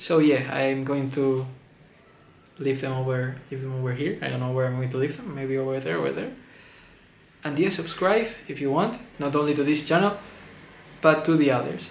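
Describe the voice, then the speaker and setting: There is audible room echo as a man with a non-native accent speaks at a fairly high pitch and moderate pace. His pitch varies in an ordinary way, and he takes long, frequent pauses. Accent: non-native English speaker. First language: Spanish. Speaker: movie reviewer. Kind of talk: casual video review monologue. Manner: halting, repeats words.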